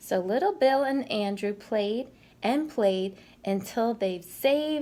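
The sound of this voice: This is an unforced reading voice. It stays an unforced reading voice throughout.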